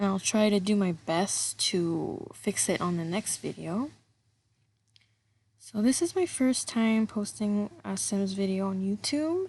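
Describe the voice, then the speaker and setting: A woman's dark, mellow, somewhat breathy voice at medium pitch, fairly slow with ordinary pitch variation, against a quiet background. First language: French. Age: 20s. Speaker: gaming YouTuber. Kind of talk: voice-over commentary. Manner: casual, hesitant.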